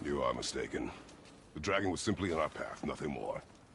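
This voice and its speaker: A man does a raspy, put-on character voice at a fairly quick pace, with clear background noise. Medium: video game. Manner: terse, gruff.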